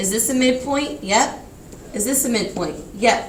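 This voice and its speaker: Amid noticeable background noise and audible room echo, a woman talks at a fairly slow pace with ordinary pitch variation. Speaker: teacher. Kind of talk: classroom lecture.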